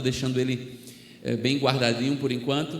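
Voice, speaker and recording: A man with a northeastern Brazilian accent speaks at medium pitch and a moderate pace. Audible room echo and noticeable background noise are present. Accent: northeastern Brazilian (Alagoas). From Brazil, Alagoas (Maceió area). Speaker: missionary preacher. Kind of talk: sermon.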